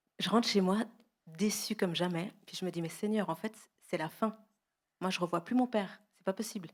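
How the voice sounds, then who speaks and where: With long, frequent pauses, a woman speaks at a medium pitch and with fairly even intonation. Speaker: guest sharing testimony. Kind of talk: testimony. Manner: fast.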